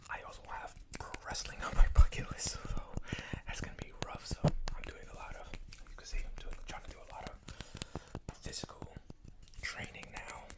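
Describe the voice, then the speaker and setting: Whispering at a fairly quick pace, a man leaves long, frequent pauses, his loudness swinging a lot against noticeable background noise. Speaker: ASMR creator. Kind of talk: ASMR rambling to camera. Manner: fast, chaotic, casual.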